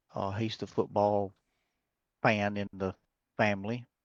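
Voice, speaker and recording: With an Alabama accent, a man speaks fairly slowly at a fairly low pitch in monotone, flat intonation. The sound is dry and close with no echo, over a quiet background. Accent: Southern US (Alabama). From US South, Alabama. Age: 60s. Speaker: race car builder. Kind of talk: casual interview chat.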